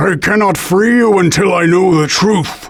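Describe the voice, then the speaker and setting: This man puts on a character voice pitched high. He keeps a moderate pace. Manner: grave, weary.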